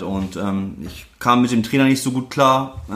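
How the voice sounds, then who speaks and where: There is noticeable background noise and audible room echo as a man speaks at a medium pitch. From northern Germany, Lüneburg Heath. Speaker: former footballer. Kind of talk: casual interview.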